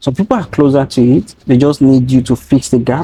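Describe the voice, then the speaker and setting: In a strong Nigerian accent, a man speaks at a moderate pace with a fairly high pitch, a dark, mellow tone, and a somewhat breathy quality. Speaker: data training founder. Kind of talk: interview conversation.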